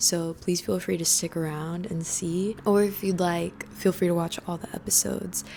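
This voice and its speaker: A woman with a fairly low pitch speaks at a moderate pace with hardly any pauses and fairly even intonation. Noticeable background noise is present. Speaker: audio engineer and musician. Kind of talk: vlog tutorial.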